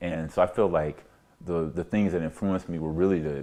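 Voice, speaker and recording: A very deep, low male voice at a fairly quick pace with ordinary pitch variation. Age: 60s. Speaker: oral history interviewee. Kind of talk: interview.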